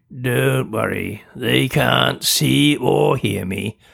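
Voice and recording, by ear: A man's put-on character voice, gruff and raspy, very deep and low in pitch with very wide pitch swings, at a very slow pace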